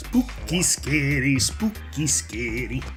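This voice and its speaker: Clear music fills the background. Over it, a put-on character voice talks at a very slow pace. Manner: spooky, eerie, singsong.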